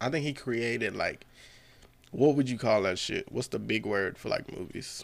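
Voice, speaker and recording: Vocal fry runs through a man's medium-pitched voice. He keeps a moderate pace with ordinary pitch variation. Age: 30s. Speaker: comedian and navy sailor. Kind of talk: casual chat. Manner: animated.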